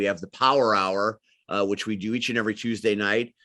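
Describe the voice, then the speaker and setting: Loud and with a bright, sharp tone, this man speaks in an American accent. His pitch is fairly low. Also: quiet background. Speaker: wrestling commentator and manager. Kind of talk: interview. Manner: animated.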